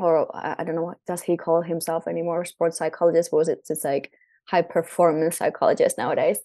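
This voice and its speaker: Speaking with a Finnish accent, a woman uses a fairly low, dark and mellow voice at a fairly quick pace with fairly even intonation over a quiet background. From Finland. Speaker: breathwork coach and former volleyball player. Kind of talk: casual interview.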